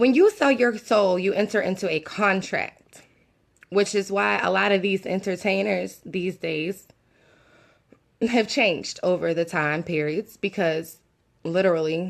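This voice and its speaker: A raspy put-on character voice from a woman, medium in pitch, with ordinary pitch variation at a moderate pace. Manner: very slow speech.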